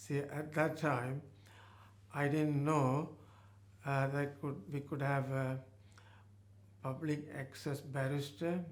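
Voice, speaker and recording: Amid audible room echo, a man with a fairly high pitch speaks at a very slow pace in a monotone, flat voice, leaving long, frequent pauses. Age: 80s+. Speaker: retired GP. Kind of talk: testimony interview. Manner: halting.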